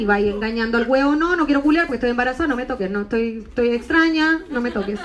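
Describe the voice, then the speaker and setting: A woman with a Chilean accent and lively intonation, over noticeable background noise. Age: 30s. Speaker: stand-up comedian. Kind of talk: stand-up. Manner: animated.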